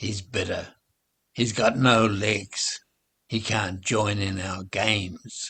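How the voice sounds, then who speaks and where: A man puts on a growling, raspy character voice at a fairly low pitch. He speaks at a very slow pace. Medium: read story. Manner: friendly, gentle.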